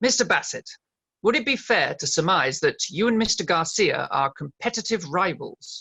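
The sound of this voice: A man uses a put-on character voice with a bright, sharp tone and a fairly high pitch. His delivery has a slightly husky edge and vocal fry, at a moderate pace. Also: lively intonation.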